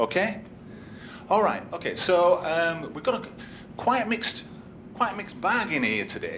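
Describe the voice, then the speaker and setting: A man speaks in a high pitch with a Yorkshire accent. Audible room echo surrounds the voice. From Yorkshire, northern England. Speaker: conference speaker, business analyst. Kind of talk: conference workshop talk. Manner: conversational, interactive.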